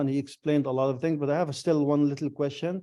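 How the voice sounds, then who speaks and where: Pitched fairly high, a man's voice has a dark, mellow tone and monotone, flat intonation. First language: not French (speaking French). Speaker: resident asking question. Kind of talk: public question at council. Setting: video call. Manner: halting, switches French and English.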